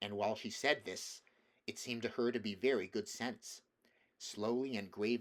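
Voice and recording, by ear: Over a quiet background, the clip features reading aloud in a natural voice.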